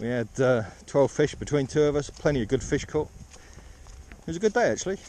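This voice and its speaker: A man's voice, lively in intonation and fairly quick in pace, with a dry sound and no echo. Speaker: fly fisherman vlogger. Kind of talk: casual vlog chat. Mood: cheerful, wry about weather. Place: waterside. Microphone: phone near.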